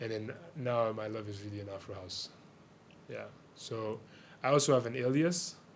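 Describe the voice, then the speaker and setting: A man's medium-pitched voice at a moderate pace, with ordinary pitch variation, big swings in loudness, long, frequent pauses and audible room echo. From Haiti (Port-au-Prince). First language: Haitian Creole. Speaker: DJ and music producer. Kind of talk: radio interview. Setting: radio studio.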